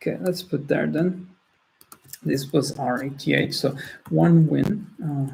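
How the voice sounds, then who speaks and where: A man with a non-native accent, fairly high in pitch, with a dark, mellow tone, vocal fry, ordinary pitch variation, a fairly slow pace and long, frequent pauses. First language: not English. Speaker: trading tutorial host. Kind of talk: screen-share tutorial. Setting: screen-share recording. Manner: halting, many restarts.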